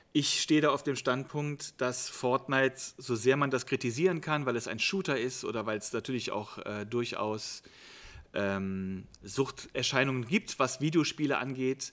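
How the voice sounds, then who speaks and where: On a very clean recording with a silent background, a man at a medium pitch talks at a fairly slow pace with ordinary pitch variation. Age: 50s. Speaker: youth worker. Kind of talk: interview. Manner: hesitant fillers.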